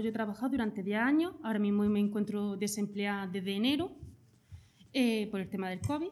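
A very fast pace with ordinary pitch variation. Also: woman. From Jaén, Andalusia. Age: 30s. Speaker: hospitality worker. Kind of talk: interview.

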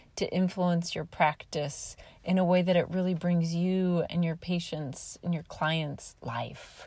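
A woman with an American accent and a dark, mellow, somewhat breathy tone speaks at a fairly slow pace with hardly any pauses, in a very clean recording with a silent background. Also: fairly low pitch for a woman. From Nebraska, US Midwest. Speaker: podcast host and home health occupational therapist. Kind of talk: solo podcast monologue. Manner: halting.

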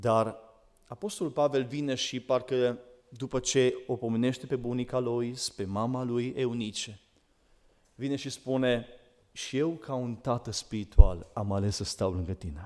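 With an unremarkable speaking voice, a man talks at a medium pitch and a fairly slow pace, using ordinary pitch variation. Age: 40s. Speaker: preacher. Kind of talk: sermon.

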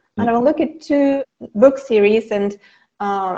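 In a German accent, a woman speaks with lively intonation. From Germany. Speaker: academic writing instructor. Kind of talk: casual interview.

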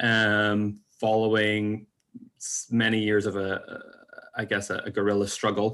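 In a Northern Irish accent, the speaker goes at a fairly slow pace with long, frequent pauses and a monotone, flat intonation. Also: man, fairly low pitch for a man. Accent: Northern Irish (Belfast). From Northern Ireland. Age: 20s. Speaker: podcast guest. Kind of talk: casual chat.

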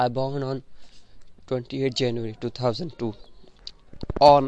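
A man with an Indian accent speaks at medium pitch. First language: an Indian language (not English). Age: young (18). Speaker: student and podcaster. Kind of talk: personal monologue. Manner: halting, repeats words.

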